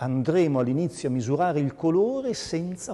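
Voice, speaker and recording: A man's voice with a dark, mellow tone swings very widely in pitch. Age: 60s. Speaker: physicist and colorimetry lecturer. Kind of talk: lecture. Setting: museum evening talk with audience.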